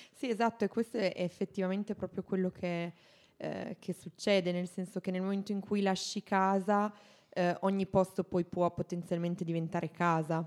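Recorded dry and close with no echo and a silent background on a very clean recording, a woman talks at a medium pitch and a moderate pace with fairly even intonation in a plain, everyday voice. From Italy. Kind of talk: casual chat.

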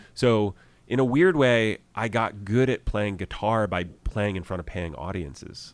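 A man with an ordinary speaking voice talks at a fairly slow pace, pitched fairly low with ordinary pitch variation. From US Midwest, Columbus, Ohio. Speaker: musician and actor. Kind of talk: casual chat. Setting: studio.

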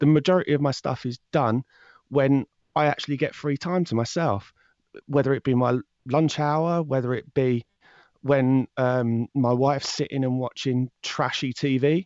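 A man speaks with a southern English accent and fairly even intonation. The sound is dry and close with no echo, over a quiet background. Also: medium pitch for a man. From southern England. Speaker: true crime podcast host. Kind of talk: interview conversation. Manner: fast talker; hesitant, many fillers and restarts.

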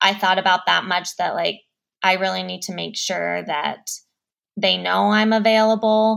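At a moderate pace, a woman speaks with an American accent on a very clean recording with a silent background. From Denver, Colorado. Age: 30s. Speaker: marketing professional. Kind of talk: casual interview.

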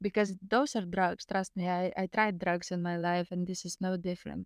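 The speech comes at a fairly slow pace in a Lithuanian accent, with monotone, flat intonation. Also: woman, dry, close sound with no echo. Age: 30s. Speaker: near-death experiencer, spiritual healer. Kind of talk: casual interview, storytelling.

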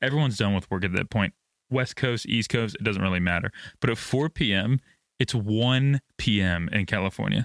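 Using an ordinary speaking voice, a man talks at a moderate pace with fairly low pitch, ordinary pitch variation and very even loudness. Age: 20s. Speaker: F1 podcast co-host. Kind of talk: casual chat.

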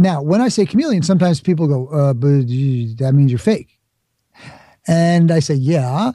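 A man with an American accent speaks at a fairly high pitch with lively intonation. His somewhat breathy voice has a dark, mellow tone and very even loudness. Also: moderate pace. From New York, the Bronx. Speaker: speaker and author, former actor. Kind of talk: interview.

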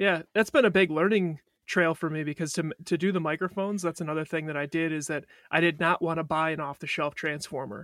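A man with an American accent talks at a very fast pace in a fairly high pitch. His intonation is fairly even, and the recording is very clean with a silent background. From Wisconsin. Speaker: microphone maker. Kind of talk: casual interview.

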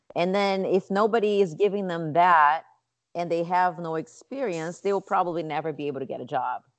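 A woman with a Portuguese accent and a fairly low pitch. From Brazil, Rio de Janeiro. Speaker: nonprofit founder and yoga teacher. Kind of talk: interview.

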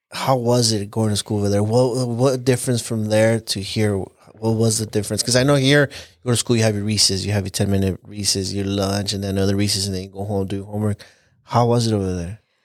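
Speaking at a very fast pace with hardly any pauses, a man keeps his intonation fairly even. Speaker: podcast host. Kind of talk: casual chat. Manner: joking, casual banter.

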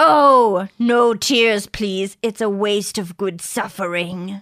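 Using a put-on character voice at a medium pitch, a woman speaks at a very slow pace. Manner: menacing, taunting.

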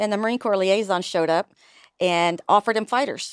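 A woman has an ordinary speaking voice at a medium pitch, with ordinary pitch variation and a fairly quick pace. The recording is very clean with a silent background and a dry, close sound with no echo. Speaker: army veteran. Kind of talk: interview. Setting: studio.

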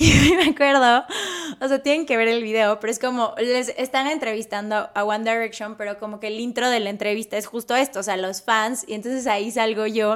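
Animated and fairly quick, a woman speaks at a fairly high pitch with ordinary pitch variation amid noticeable background noise. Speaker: airline pilot and influencer. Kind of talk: casual chat.

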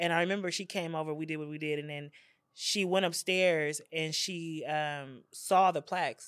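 A woman talks at a moderate pace in a fairly low pitch, with ordinary pitch variation. The recording is very clean, with a silent background. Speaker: media company founder and evangelist. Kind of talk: casual faith testimony interview. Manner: chill, laid-back.

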